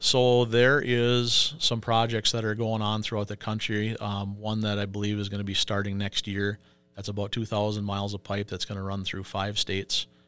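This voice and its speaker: A man with an Upper Midwest accent speaks at a moderate pace in a fairly low pitch, monotone and flat, with hardly any pauses. The recording is very clean with a silent background. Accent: Upper Midwest (Minnesota). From Minnesota, Pine City. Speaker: union business agent. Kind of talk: interview.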